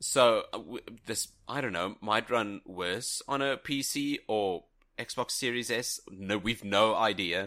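In a very clean recording with a silent background, a man with a bright, sharp tone speaks at a very slow pace. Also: medium pitch for a man, ordinary pitch variation. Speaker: podcast co-host. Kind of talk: casual chat.

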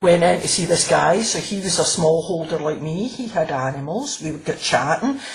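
With a Glaswegian accent, a woman speaks at a fairly low pitch and with lively intonation. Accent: Glaswegian Scottish. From Scotland, Glasgow. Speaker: crime novelist. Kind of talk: interview.

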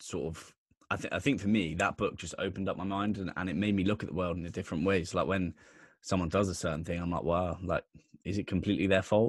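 In a very clean recording with a silent background, a man speaks with a southern English accent. His very deep, low pitch is paired with fairly even intonation and a very fast pace. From southern England, Bournemouth, Dorset. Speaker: podcast host, guest. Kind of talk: casual chat.

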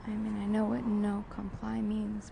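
A woman speaking, with audible room echo and noticeable background noise. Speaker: podcast host. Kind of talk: descriptive monologue. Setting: outdoors at a coffee shop on a busy street. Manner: casual, halting with fillers.

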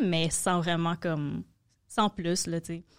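In a Quebec accent, a woman speaks at fairly low pitch with monotone, flat intonation, the sound dry and close with no echo. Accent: Québécois French. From Quebec, Montreal. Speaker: comedy manager and producer. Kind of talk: casual chat.

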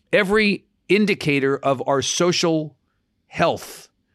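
He speaks with an American accent. His intonation is lively. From New York. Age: 50s. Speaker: news organization CEO. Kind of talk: interview. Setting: remote interview from home.

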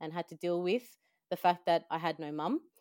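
Australian accent, fairly even intonation and moderate pace, in a dry, close sound with no echo on a very clean recording with a silent background. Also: woman. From El Salvador, raised in Australia from young childhood. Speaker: finance industry talent manager. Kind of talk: interview, personal story.

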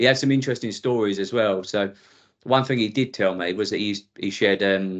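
The speaker has an Essex accent and fairly even intonation. The background is quiet. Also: man. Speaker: former police officer. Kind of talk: interview.

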